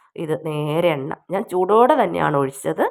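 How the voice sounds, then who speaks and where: Heard in a very clean recording with a silent background, a woman with a North Kerala accent has a fairly low pitch, vocal fry and ordinary pitch variation. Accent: Wayanad Malayalam dialect. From Kerala, Wayanad. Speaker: YouTube home remedy vlogger. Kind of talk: cooking tutorial. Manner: casual, halting.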